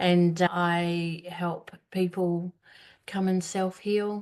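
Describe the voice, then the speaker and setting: Against a quiet background, a woman with an Australian accent speaks in a fairly low, dark and mellow voice with monotone, flat intonation. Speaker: healer. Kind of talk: panel discussion.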